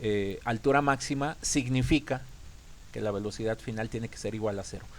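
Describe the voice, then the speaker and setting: Here a man speaks at a medium pitch. His pitch varies in an ordinary way. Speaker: physics teacher. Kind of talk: lecture. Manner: fast; halting.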